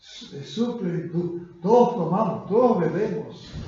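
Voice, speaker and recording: A man speaks at a very slow pace with ordinary pitch variation. There is audible echo from the room. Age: 80s+. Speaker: pastor. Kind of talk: sermon. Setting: church.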